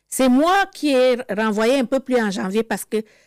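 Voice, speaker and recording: Recorded very cleanly against a silent background, a woman talks at a moderate pace with lively intonation in a dry, close sound with no echo. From Cameroon. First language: Cameroonian local language (speaking French). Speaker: interviewee sharing life story. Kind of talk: testimony. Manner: halting.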